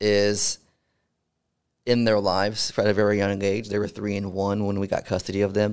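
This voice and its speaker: With an American accent, a man speaks at a moderate pace and a fairly low pitch in a monotone, flat intonation broken by long, frequent pauses. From Houston, Texas. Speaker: army veteran and podcast host. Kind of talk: casual interview.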